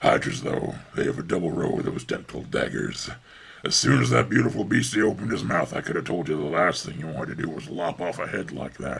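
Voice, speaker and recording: A put-on character voice, raspy and fairly quick. Its pitch swings very widely. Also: man, very deep, low pitch for a man. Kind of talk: sports color commentary. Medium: audio drama. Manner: boastful, folksy.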